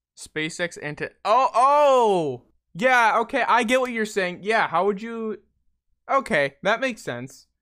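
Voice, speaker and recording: On a very clean recording with a silent background, a man with a high pitch uses a raised, projected voice, a bright, sharp tone, and lively intonation at a very slow pace. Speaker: podcast host. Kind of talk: casual chat. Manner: halting.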